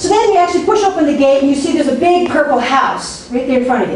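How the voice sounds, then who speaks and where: Her intonation is lively. A woman talks over noticeable background noise. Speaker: workshop speaker on marketing. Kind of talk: workshop talk. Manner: fast; animated.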